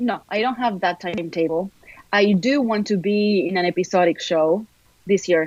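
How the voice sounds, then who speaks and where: This voice has an Argentine accent and ordinary pitch variation. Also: woman, medium pitch for a woman, moderate pace. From Argentina, Buenos Aires. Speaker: actor. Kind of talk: interview.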